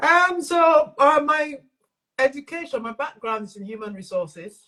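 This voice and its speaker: A woman's raised, projected voice, high-pitched with a bright, sharp tone, moves at a moderate pace through very wide pitch swings and big swings in loudness. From England and Nigeria. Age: 60s. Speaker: self-love and mental fitness coach. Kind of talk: interview conversation.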